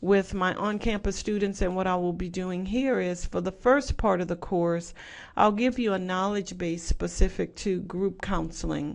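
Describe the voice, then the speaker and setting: With a slight Southwest Louisiana accent, a woman speaks at a moderate pace in a medium-pitched voice. Her intonation stays fairly even. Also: quiet background. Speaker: professor. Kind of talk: lecture.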